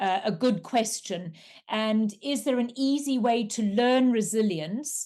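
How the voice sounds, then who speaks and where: In a South African accent, the speaker goes at a fairly slow pace with ordinary pitch variation. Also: woman. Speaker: coach and resilience trainer. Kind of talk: webinar presentation.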